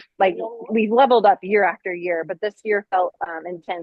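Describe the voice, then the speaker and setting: A woman's medium-pitched voice at a fairly quick pace. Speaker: race director. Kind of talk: informational briefing on a video call. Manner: fast.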